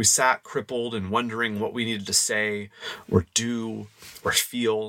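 A man with a Midwestern American accent talks at medium pitch and with fairly even intonation against noticeable background noise. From Indiana, US Midwest. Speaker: podcast host. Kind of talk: casual chat; scripted narration.

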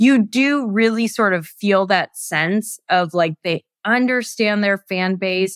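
With an unremarkable speaking voice, a woman talks at a fairly slow pace with ordinary pitch variation, in a very clean recording with a silent background and a dry, close sound with no echo. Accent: American. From US West Coast. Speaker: head of communications at a tech company. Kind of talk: casual podcast interview.

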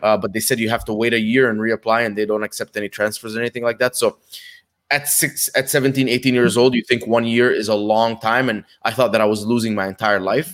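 Speaking at a very fast pace, a man keeps a fairly even intonation at a medium pitch. The sound is dry and close, with no echo. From Dubai, born in Egypt. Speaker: Amazon seller and ad consultant. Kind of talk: casual interview. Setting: live video stream. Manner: fast, halting with many fillers.

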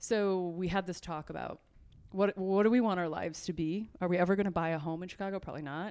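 A woman with a Midwestern American accent speaks in a monotone, flat intonation at a fairly low pitch, on a very clean recording with a silent background. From southwest Michigan. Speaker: regional economic development executive. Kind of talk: interview.

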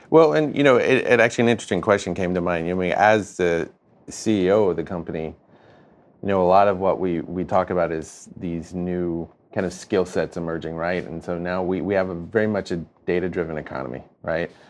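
With an American accent, a man talks at a fairly quick pace in a very deep, low pitch. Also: ordinary pitch variation. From North Carolina, US South. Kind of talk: scripted intro narration; interview conversation. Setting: guest's office.

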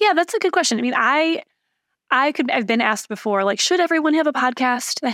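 A woman's high-pitched voice with an American accent, bright and sharp in tone, at a fairly quick pace, with very wide pitch swings, very even loudness, and a very clean recording with a silent background. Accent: Michigan accent comes out when talking long. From Michigan, Lansing. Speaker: tech startup founder and CEO. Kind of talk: podcast interview.

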